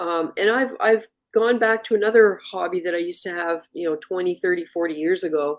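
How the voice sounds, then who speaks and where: A woman's ordinary speaking voice at a medium pitch, fairly quick pace and fairly even intonation. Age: 60s. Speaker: reef aquarium livestream host. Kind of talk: casual live stream chat. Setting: live video stream studio.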